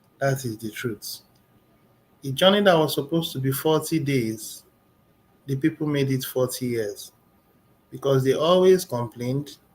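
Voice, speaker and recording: A somewhat breathy man's voice at a fairly high pitch, with ordinary pitch variation and long, frequent pauses. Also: moderate pace. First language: not English. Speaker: motivational speaker. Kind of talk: motivational talk.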